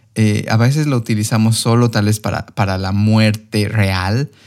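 At a fairly slow pace, a man with a plain, everyday voice speaks at a fairly low pitch. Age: 30s. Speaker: podcast host and coach. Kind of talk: podcast interview.

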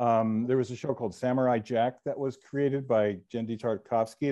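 Against a quiet background, a man with an American accent and a medium pitch talks at a fairly quick pace in a dark, mellow tone. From New Jersey. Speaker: TV comedy writer and producer. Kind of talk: interview.

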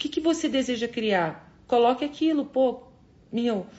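Speaking very slowly, a woman uses a high pitch and lively intonation. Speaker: spiritual coach leading a morning live session. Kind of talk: motivational live stream. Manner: animated.

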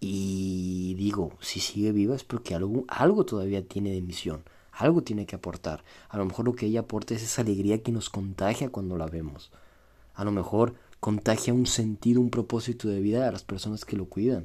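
A man's fairly low voice with a Mexican accent, at a moderate pace with ordinary pitch variation. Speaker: podcaster. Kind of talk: solo monologue, reflective. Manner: casual, conversational.

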